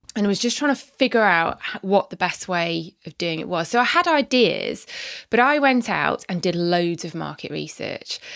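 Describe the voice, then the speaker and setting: Recorded very cleanly against a silent background, a woman uses a normal speaking voice at medium pitch, moving at a moderate pace with lively intonation and big swings in loudness. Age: 40s. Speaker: online fitness coach and former lawyer. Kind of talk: casual interview.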